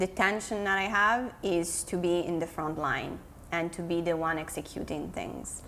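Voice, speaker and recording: In an Italian accent, a woman talks fairly slowly with a fairly low pitch and fairly even intonation, and the room echo is audible. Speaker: digital marketing consultant. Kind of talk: podcast interview.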